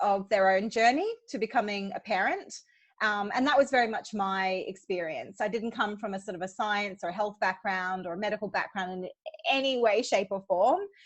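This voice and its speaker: With an Australian accent, a woman talks at a moderate pace and medium pitch against a quiet background. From Hong Kong, Australian parents. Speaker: childbirth educator and doula. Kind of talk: interview conversation.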